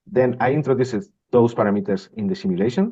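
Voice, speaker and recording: A man speaks with a strong Spanish accent and a dark, mellow tone. His pitch makes very wide swings. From Spain. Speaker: industrial systems manager. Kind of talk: interview. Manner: halting, with repetitions.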